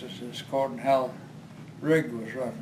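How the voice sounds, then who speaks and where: There is noticeable background noise behind this man speaking. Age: 80s+; old. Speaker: retired oil field supervisor. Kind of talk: interview answer.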